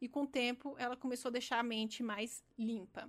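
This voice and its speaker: A woman speaks with a Brazilian accent. Her pitch is high. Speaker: architect and podcast host. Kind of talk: solo podcast talk.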